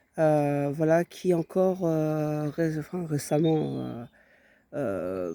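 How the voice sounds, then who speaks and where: The voice has a dark, mellow tone, heard dry and close with no echo on a very clean recording with a silent background. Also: man. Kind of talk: personal vlog monologue. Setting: outdoors. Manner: halting, many hesitations.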